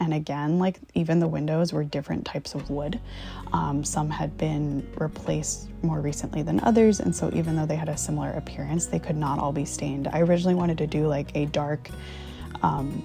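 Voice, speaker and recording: Music in the background and a woman's fairly quick speech. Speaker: licensed professional counselor. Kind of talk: home renovation voiceover.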